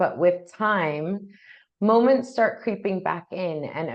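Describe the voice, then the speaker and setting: A woman speaks fairly slowly in an unremarkable speaking voice. Her intonation is lively. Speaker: grief podcast interviewer. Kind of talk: podcast intro. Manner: casual, warm.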